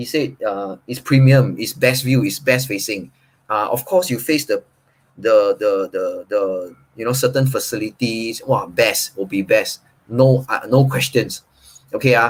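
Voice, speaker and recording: A man speaks at a fairly slow pace with ordinary pitch variation. His voice is somewhat breathy. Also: medium pitch for a man. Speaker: property agent.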